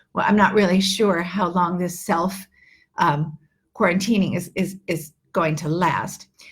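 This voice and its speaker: A woman's fairly low, somewhat breathy voice with an American accent at a fairly slow pace. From New York. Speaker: English teacher. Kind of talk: live online lesson. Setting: livestream. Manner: animated.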